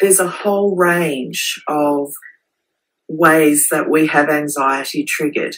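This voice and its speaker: In an Australian accent, a woman with a very deep, low pitch speaks very slowly with fairly even intonation. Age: 40s.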